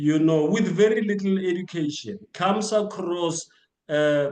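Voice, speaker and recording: This man has a high-pitched voice. His pace is fairly slow. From South Africa, Krugersdorp (Gauteng). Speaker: author. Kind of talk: interview. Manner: halting, many repetitions.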